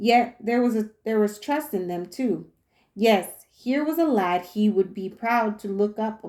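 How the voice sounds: Over a quiet background, a natural reading voice comes through with ordinary pitch variation.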